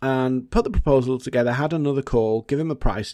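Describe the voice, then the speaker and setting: Here a man speaks with a British accent. His tone is dark and mellow, and the background is quiet. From Britain. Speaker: podcast host, marketing and LinkedIn consultant. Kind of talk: solo podcast monologue. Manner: casual, conversational.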